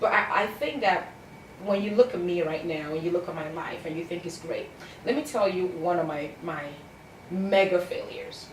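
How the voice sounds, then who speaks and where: A woman with a Cameroonian accent speaks fairly quickly at a medium pitch in an animated tone, with lively intonation, big swings in loudness and long, frequent pauses, amid noticeable background noise and audible room echo. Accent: Cameroonian (Bamenda). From Cameroon, anglophone Bamenda region. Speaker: success coach and author. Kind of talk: interview.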